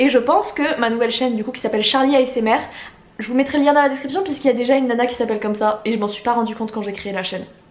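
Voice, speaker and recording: Over noticeable background noise, a woman talks very fast. Her voice is high, with ordinary pitch variation. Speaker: YouTuber and novelist. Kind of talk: casual vlog talk. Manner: loud, shouty; hesitant with filler.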